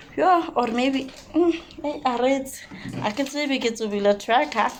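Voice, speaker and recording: Noticeable background noise runs behind a woman speaking at a fairly slow pace. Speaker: vlogger. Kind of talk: casual vlog. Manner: animated.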